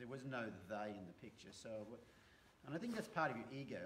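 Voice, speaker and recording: With an American accent and lively intonation, a man speaks in a somewhat breathy voice over light background noise. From Australia. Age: 50s. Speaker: horse trainer. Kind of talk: casual chat. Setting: live stream. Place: home room. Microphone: phone near.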